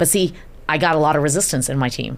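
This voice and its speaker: A woman with a very deep, low pitch and vocal fry speaks at a fairly quick pace in an animated tone with ordinary pitch variation. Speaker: event agency CEO. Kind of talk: podcast interview. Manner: fast.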